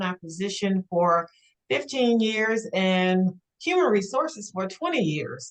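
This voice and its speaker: At a fairly slow pace, a woman with a medium pitch speaks in lively intonation. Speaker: HR and talent acquisition professional. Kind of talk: panel discussion on webinar. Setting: video call. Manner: hesitant, many fillers.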